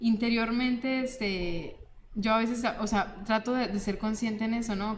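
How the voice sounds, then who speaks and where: A woman with a fairly high voice keeps her intonation fairly even and her pace moderate. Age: 30s. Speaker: university program host. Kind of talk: panel discussion. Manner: halting.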